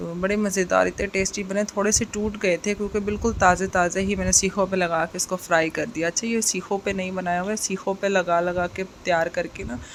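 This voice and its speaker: A woman speaks at medium pitch in monotone, flat intonation. Her pace is moderate, with hardly any pauses. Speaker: vlogger, mother. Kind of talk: vlog voice-over.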